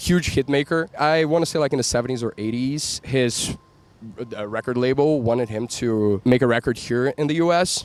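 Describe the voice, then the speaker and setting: A medium-pitched male voice with ordinary pitch variation and a moderate pace, amid noticeable background noise. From Brazil, Rio de Janeiro. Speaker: music show guest. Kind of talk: casual chat.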